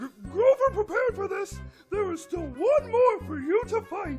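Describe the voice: At a moderate pace, a cartoonish character voice plays over faint music in the background.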